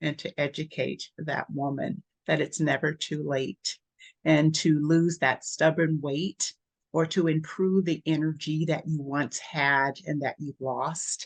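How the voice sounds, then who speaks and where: A woman with a very deep, low pitch speaks at a very slow pace with fairly even intonation. The sound is dry and close, with no echo. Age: 60s. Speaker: nurse practitioner and wellness coach. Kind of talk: interview.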